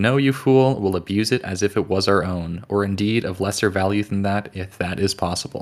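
On a very clean recording with a silent background, a normal speaking voice moves at a fairly quick pace with ordinary pitch variation. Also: man. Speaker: podcast panelist. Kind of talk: casual book discussion podcast.

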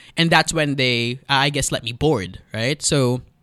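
A man with a Filipino accent speaks at a fairly high pitch in a bright, sharp tone, in a very clean recording with a silent background and a dry, close sound with no echo. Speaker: radio presenter. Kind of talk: casual chat.

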